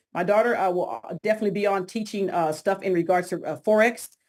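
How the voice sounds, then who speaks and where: A woman talks at a fairly quick pace. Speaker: crypto trainer. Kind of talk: interview about teaching plans. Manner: fast; animated.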